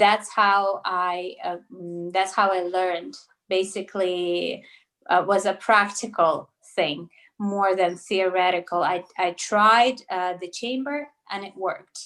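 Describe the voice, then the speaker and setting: Against a quiet background, a woman speaks at a medium pitch in a Russian accent, with ordinary pitch variation. Her pace is very slow, and her loudness swings widely. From Russia, later Toronto, Canada. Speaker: naturopathic doctor. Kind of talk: interview. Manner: hesitant, many fillers.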